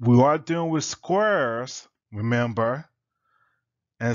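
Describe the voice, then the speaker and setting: Speaking very slowly, a man has a medium pitch and ordinary pitch variation. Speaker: math teacher. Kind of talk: lecture. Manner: casual, conversational.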